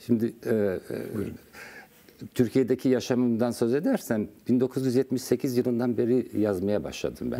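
A man talks at a moderate pace and medium pitch. His tone is dark and mellow, with vocal fry. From Turkey. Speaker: poet and writer; guest. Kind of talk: interview. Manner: halting. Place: studio. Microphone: lapel.

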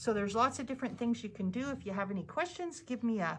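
The woman's voice is somewhat breathy. Her intonation is lively. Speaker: sewing instructor. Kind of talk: tutorial. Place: classroom. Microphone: phone near.

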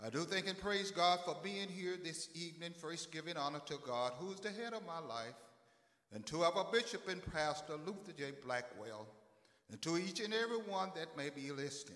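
Echo from the room can be heard. The man talks at a moderate pace. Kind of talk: church welcome and scripture reading. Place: church. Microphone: handheld.

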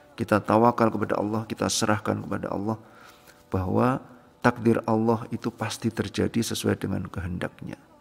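Over faint music in the background, the voice moves at a fairly quick pace with fairly even intonation. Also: man. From Solo, Central Java, Indonesia; Central Java, Indonesia. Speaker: religious testimonial speaker; speaker. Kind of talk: testimony. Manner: halting, with frequent fillers. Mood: calm, earnest. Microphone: phone near.

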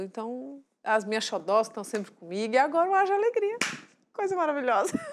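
The woman's speech has ordinary pitch variation and moves at a moderate pace. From Brazil, northern Minas Gerais. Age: 30s. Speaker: TV show guest, mother and presenter-to-be; TV guest, presenter. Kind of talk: casual talk-show chat. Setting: TV studio. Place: studio. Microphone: lapel.

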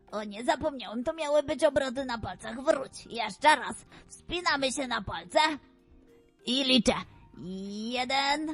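A put-on character voice talks at a moderate pace. Faint music plays in the background. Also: woman, high pitch for a woman. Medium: audio drama.

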